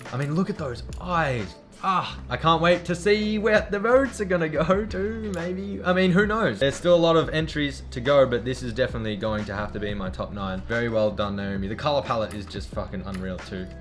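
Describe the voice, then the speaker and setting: Faint music plays in the background as a man speaks in an animated tone at a fairly quick pace, with hardly any pauses. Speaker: graphic design youtuber; artist streamer reviewing entries. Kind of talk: art critique commentary. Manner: fast; casual, animated. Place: home room.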